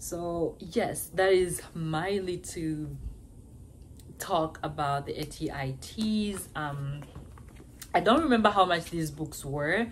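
Over light background noise, a somewhat breathy woman with a fairly low pitch speaks at a very slow pace with long, frequent pauses and ordinary pitch variation. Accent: African. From Africa. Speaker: nursing student. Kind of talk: advice vlog. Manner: casual, conversational. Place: home room. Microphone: phone near.

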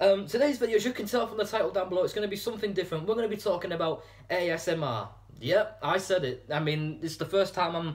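Speaking at a very fast pace, a man with a high pitch uses ordinary pitch variation. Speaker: channel host. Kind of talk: casual vlog chat. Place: home room. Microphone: phone near.

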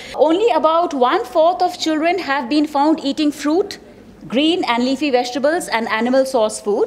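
A woman's high-pitched voice with lively intonation. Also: moderate pace. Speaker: conference presenter. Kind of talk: presentation talk. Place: hall. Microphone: podium.

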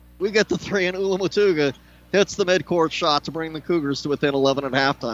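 A man speaks in an animated tone. The sound is dry, with no echo. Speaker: play-by-play announcer. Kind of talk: live commentary. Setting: arena broadcast. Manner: fast-paced play-by-play delivery; animated, rising on big shots. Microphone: headset.

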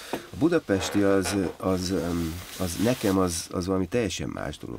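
With light background noise behind him, a man speaks in a very deep, low voice with ordinary pitch variation. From eastern Hungary, Debrecen; eastern Hungary. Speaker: film and theatre director; podcast guest. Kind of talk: casual interview. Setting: studio. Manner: halting, many repetitions. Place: studio. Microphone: studio mic.

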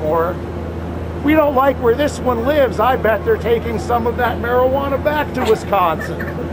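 A man's fairly unhurried speech comes through against clearly audible background noise. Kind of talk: public protest speech. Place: station.

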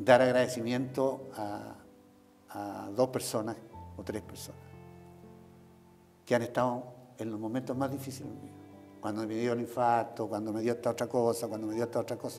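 Faint music sits in the background as a man speaks at a moderate pace in a flat monotone, with long, frequent pauses. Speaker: interviewee. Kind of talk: interview answer. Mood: grateful, emotional recollection. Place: office. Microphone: lapel.

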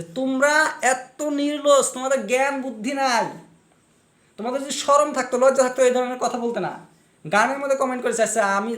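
Speaking with an animated tone and an extremely high pitch, a man is heard through audible room echo. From Assam, India (Kokrajhar/Goalpara/Barpeta area). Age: 30s. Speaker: video blogger and writer. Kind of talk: monologue rant to camera.

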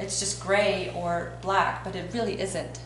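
A woman is heard through audible room echo, with noticeable background noise behind her. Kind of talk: tutorial. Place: home room. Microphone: camera far.

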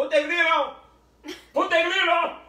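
In a put-on character voice, a man speaks at an extremely high pitch. A slight echo hangs on the recording. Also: moderate pace. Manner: excited, insistent.

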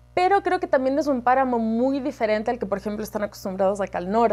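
A woman's fairly high voice with a Cuenca Ecuadorian accent. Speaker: herpetologist. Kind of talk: casual interview. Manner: animated. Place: office. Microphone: lapel.

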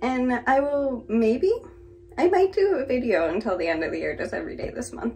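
A woman speaks in a high voice at a moderate pace. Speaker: plant vlogger. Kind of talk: casual talk to camera. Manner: casual, upbeat. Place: bathroom. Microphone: phone near.

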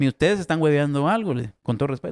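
A man with a Guatemalan accent talks at a very fast pace. His pitch is fairly high and his intonation lively. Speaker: comedy podcast co-host; podcast host. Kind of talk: casual chat. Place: studio. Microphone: studio mic.

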